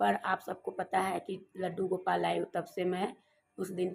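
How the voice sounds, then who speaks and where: Vocal fry runs through this woman's voice. Her pitch is medium. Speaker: home vlogger. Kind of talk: casual vlog talk. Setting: at home, rooftop.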